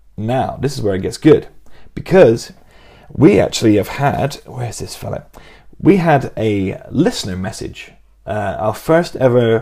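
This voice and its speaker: With an English accent, a man speaks at a fairly slow pace. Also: big swings in loudness. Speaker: podcast co-host. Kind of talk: casual chat.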